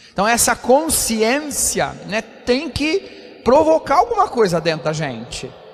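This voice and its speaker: Noticeable background noise runs under a man who speaks at a very slow pace. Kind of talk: homily at Mass.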